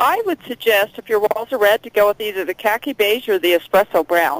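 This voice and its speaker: Her intonation is lively, and this woman keeps a moderate pace at a medium pitch. The sound is dry, with no echo. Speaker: telemarketer. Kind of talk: sales call. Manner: friendly, upbeat.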